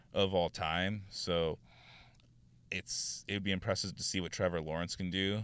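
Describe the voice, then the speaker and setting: A very deep, low-voiced man in a Southern California accent, monotone and flat, at a moderate pace, in a very clean recording with a silent background. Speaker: sports podcaster. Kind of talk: solo sports talk podcast monologue. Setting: in a car.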